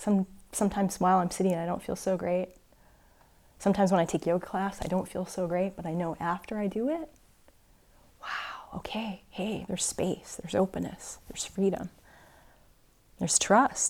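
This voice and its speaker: Over a very clean recording with a silent background, a woman talks at a moderate pace with fairly even intonation and long, frequent pauses. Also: medium pitch for a woman. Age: 40s. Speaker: yoga teacher and Zen practitioner. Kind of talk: dharma talk.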